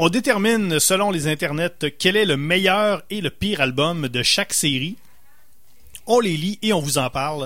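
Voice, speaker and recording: A man with a high pitch, a bright, sharp tone and lively intonation. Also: fairly slow pace. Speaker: radio host. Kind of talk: casual chat.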